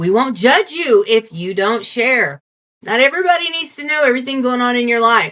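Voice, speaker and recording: A woman talks loudly at a high pitch and a fairly quick pace. Her pitch swings very widely. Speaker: video podcast host. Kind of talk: casual chat.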